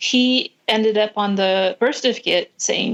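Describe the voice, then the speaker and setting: In an American accent, a woman talks at a moderate pace with a fairly high pitch and fairly even intonation. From California, US West Coast. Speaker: tattoo artist, recovering addict. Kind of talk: testimony. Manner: halting.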